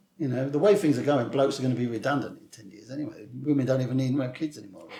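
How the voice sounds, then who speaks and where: Talking at a very fast pace in a southern English accent, a man shows big swings in loudness and ordinary pitch variation. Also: medium pitch for a man. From southern England. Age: 60s. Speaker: author and screenwriter. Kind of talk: interview. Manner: animated.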